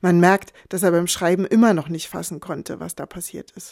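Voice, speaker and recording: A woman speaks at a moderate pace in a dark, mellow tone, recorded very cleanly against a silent background with a dry, close sound and no echo. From eastern Germany. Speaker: author and columnist. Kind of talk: scripted narration.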